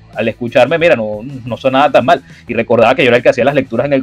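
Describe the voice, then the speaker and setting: With music in the background, a man at a medium pitch talks at a very fast pace. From Venezuela. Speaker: sports journalist and radio host. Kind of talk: interview conversation. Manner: hesitant with many fillers and repetitions.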